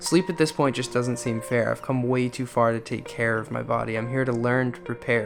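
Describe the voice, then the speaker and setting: Music plays in the background. Over it, a man talks at a fairly quick pace in a medium pitch. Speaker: solo backpacker and filmmaker. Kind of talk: spoken word poetry narration.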